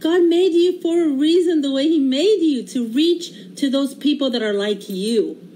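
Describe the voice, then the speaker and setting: Over noticeable background noise, a woman speaks at a high pitch with lively intonation. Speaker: home cooking livestreamer. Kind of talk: casual livestream cooking chat. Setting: home kitchen livestream. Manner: animated.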